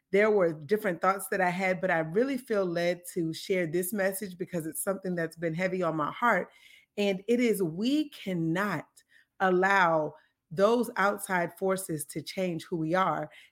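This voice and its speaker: A woman's unremarkable speaking voice, medium-pitched, moderately paced, with ordinary pitch variation. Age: 30s. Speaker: podcast host. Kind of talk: faith-based monologue. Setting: live taping.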